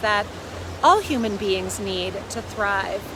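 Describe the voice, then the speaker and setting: Noticeable background noise and audible echo from the room. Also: woman. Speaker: parenting coach. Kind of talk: casual vlog talk. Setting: outdoors by a river. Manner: loud.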